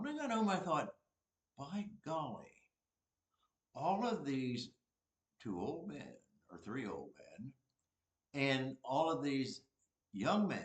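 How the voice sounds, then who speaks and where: A somewhat breathy man speaks at a very slow pace, with long, frequent pauses. His pitch swings very widely. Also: fairly high pitch for a man. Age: 80s+. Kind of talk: homily. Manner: halting.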